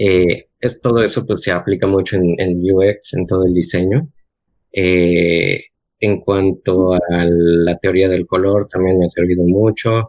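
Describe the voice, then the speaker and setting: A man's very deep, low voice at a very slow pace, with very even loudness and fairly even intonation. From Cancún, Mexico. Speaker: remote frontend developer and designer. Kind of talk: casual chat.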